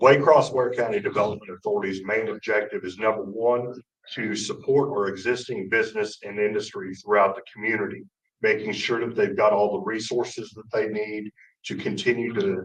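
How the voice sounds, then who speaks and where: This man talks at a moderate pace with a medium pitch and ordinary pitch variation. His loudness swings widely. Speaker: development authority president. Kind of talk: panel talk.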